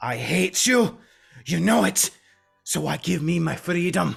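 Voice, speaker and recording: A man puts on a character voice at a fairly high pitch. He delivers it fairly slowly. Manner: resentful, bitter, hostile.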